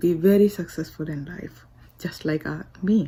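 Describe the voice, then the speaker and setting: A woman speaks with a dark, mellow tone at a fairly low pitch, somewhat breathy. Her intonation stays fairly even and her pace is fairly slow. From India. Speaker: motivational speaker. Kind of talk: inspirational speech.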